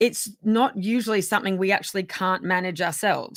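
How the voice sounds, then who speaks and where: At a moderate pace, a woman speaks at a medium pitch with a bright, sharp tone and ordinary pitch variation, on a very clean recording with a silent background. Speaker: wellness coach / channel host. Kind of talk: casual talk to camera, self-help tips. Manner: casual, hesitant with fillers.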